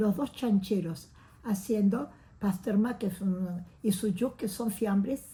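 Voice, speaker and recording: Somewhat breathy and dark, mellow in tone, the voice moves at a fairly slow pace with ordinary pitch variation. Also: woman. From Uruguay. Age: 80s+. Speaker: oral history interviewee. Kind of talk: testimony. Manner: animated.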